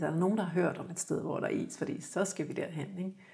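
A woman speaks very fast. Her fairly low voice shows ordinary pitch variation. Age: 50s. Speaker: graphic designer and photographer, winter swimmer. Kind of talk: casual interview chat. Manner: halting, repeats words.

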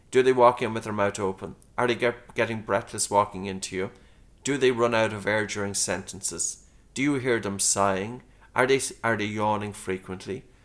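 In a very clean recording with a silent background, a man with an Irish accent speaks at a moderate pace, his fairly low pitch carried by fairly even intonation. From Ireland, County Meath. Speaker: breathing instructor and author. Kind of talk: interview.

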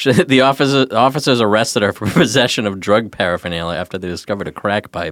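Rushing at a very fast pace with hardly any pauses, a man with a fairly low pitch uses lively intonation. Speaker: podcast co-host. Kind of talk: casual comedic chat. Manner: joking, sarcastic.

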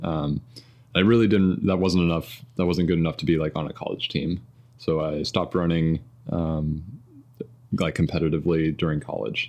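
In a Midwestern accent, the speaker keeps a moderate pace broken by long, frequent pauses. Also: man, very deep, low pitch for a man, fairly even intonation. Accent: American Midwestern. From US Midwest (southern Indiana, near Louisville). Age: 30s. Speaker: marathon runner and software engineer. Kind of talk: casual interview chat. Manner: hesitant, many fillers.

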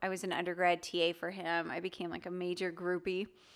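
A woman with a Midwestern American accent has a bright, sharp tone. The recording is very clean, with a silent background. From US Midwest, Chicago area. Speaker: psychology professor. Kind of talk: casual interview.

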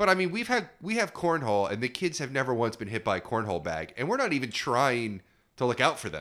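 The voice is bright and sharp with vocal fry, moving at a very fast pace. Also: man. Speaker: podcast co-host, parent. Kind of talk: casual chat. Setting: home recording.

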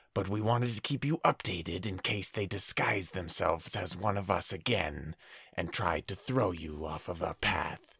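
Using a put-on character voice, a man speaks in a fairly low pitch. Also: very clean recording, silent background. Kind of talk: staged message recording. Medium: actual play. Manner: urgent, improvised report.

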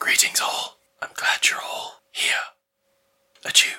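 A man's raspy, whispered, put-on character voice at a fairly slow pace. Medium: actual play. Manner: formal, measured.

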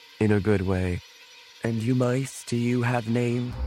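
Over clear background noise, a man puts on a character voice at a medium pitch and a fairly slow pace. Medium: actual play. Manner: grandiose, archaic.

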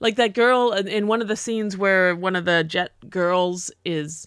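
An ordinary speaking voice with an American accent and ordinary pitch variation comes through on a very clean recording with a silent background. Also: woman. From not New York City. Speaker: podcast co-host. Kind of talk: casual discussion.

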